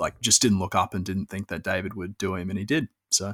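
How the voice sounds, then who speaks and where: In a very clean recording with a silent background, a man with an Australian accent and a very deep, low pitch talks at a fairly quick pace in a monotone, flat intonation. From Queensland, Australia. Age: 20s. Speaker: property journalist. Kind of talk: casual chat.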